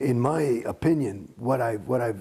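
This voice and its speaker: The voice carries vocal fry and speaks with an American accent. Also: man. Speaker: actor. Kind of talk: interview answer.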